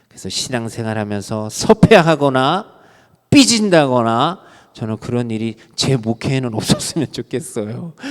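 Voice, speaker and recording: At a fairly slow pace, a man uses a normal speaking voice of medium pitch, with big swings in loudness. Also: lively intonation. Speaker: pastor. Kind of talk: sermon.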